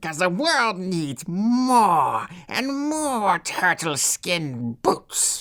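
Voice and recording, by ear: A female-sounding, put-on character voice at a middle pitch swings very widely in pitch and moves very slowly with hardly any pauses, in a very clean recording with a silent background.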